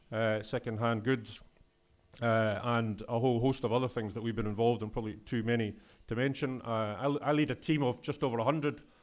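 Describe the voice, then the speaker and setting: With a Scottish accent, a man of medium pitch speaks at a fairly quick pace and with fairly even intonation. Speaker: executive director of a public environmental body. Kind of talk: conference talk. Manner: fast.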